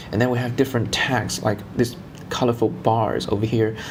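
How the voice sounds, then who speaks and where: A man with a non-native accent speaks at a medium pitch. Noticeable background noise and audible room echo fill the recording. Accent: non-native English speaker. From China. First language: Chinese. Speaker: tech YouTuber. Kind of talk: casual vlog intro; tutorial. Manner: halting, with fillers.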